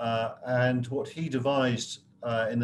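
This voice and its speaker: Light noise runs behind a man as he speaks. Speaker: professor guest speaker. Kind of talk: lecture. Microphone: video call.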